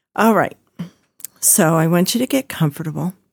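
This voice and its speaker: With a fairly low pitch, a woman's voice carries vocal fry and lively intonation in a dry, close sound with no echo. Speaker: meditation guide. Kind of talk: guided meditation. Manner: slow, soothing, calm; repetitive, gentle, hypnotic cadence.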